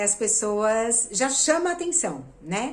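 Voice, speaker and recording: In a room with audible echo, a woman speaks at a fairly high pitch. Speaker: theatre actress and producer. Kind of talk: video lesson.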